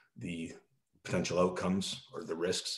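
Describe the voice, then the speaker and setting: A man with a Canadian accent speaks in a space with audible room echo. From Canada. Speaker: military veteran, helicopter pilot. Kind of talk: casual interview.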